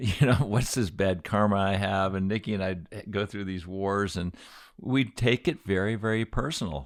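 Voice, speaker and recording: Fairly low in pitch, a man with a normal speaking voice talks at a moderate pace. His pitch varies in an ordinary way on a very clean recording with a silent background. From Aspen, Colorado. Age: 60s. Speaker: podcast host. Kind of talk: casual chat.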